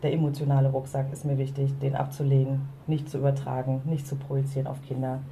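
A woman with a very deep, low pitch talks at a fairly quick pace in a monotone, flat delivery, with noticeable background noise and audible room echo. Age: 40s. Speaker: podcast co-host, coach. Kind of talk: casual chat. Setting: outdoors on a balcony.

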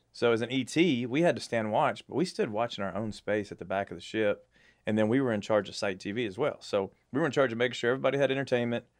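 Speech comes at a very fast pace in a Texan accent, with ordinary pitch variation. The background is quiet. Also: man, medium pitch for a man. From Texas. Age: 40s. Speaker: navy veteran, industry sales professional. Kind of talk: casual chat.

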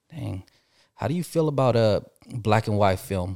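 A man with an American accent, fairly low-pitched, at a moderate pace, in a very clean recording with a silent background and a dry, close sound with no echo. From California, local town. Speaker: podcast host. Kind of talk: casual interview.

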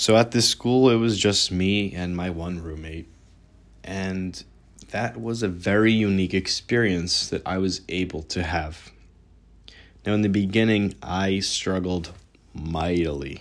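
Heard on a very clean recording with a silent background, a man with an American accent talks at a fairly slow pace in a very deep, low pitch with ordinary pitch variation. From New York. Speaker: podcast host. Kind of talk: personal testimony monologue.

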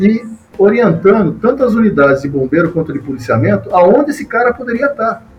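Through noticeable background noise, a man with a high pitch talks at a fairly quick pace, his pitch swinging very widely. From Brazil, São Paulo state (Mogi das Cruzes). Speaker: retired fire brigade colonel. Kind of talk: podcast interview.

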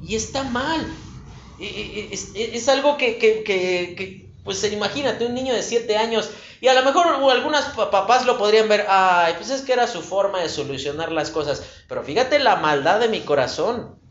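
With audible room echo around him, a man speaks at a fairly slow pace in a high pitch and lively intonation. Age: 30s. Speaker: preacher. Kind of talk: sermon.

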